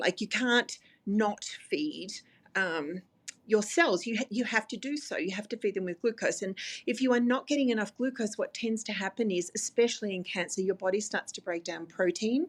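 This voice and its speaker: Speaking in an Australian accent, a woman has a fairly high pitch and ordinary pitch variation. Her pace is moderate. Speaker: dietitian. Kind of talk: interview.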